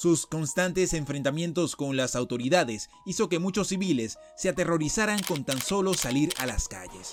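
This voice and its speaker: Music plays in the background as the speaker moves at a moderate pace with hardly any pauses. The intonation is lively. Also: man, fairly high pitch for a man. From Venezuela, Caracas. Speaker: YouTube documentary host. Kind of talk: documentary narration.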